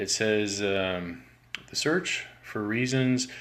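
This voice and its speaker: Quiet and fairly low-pitched, a man speaks with ordinary pitch variation amid audible room echo. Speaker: education activist video host. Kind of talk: live-streamed textbook critique. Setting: garage. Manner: quiet, low-key; hesitant, many fillers.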